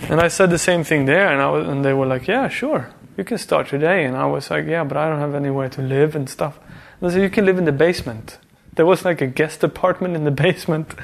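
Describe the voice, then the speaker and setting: At a very fast pace, a man with a Swedish accent speaks at a fairly high pitch with ordinary pitch variation. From Sweden (Värmland). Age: 30s. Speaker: artist. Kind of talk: casual chat.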